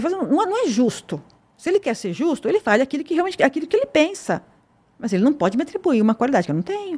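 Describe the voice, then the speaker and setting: Speaking very fast, a woman uses a high-pitched voice with very wide swings in pitch. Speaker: police chief. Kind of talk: interview. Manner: measured, pausing to weigh words.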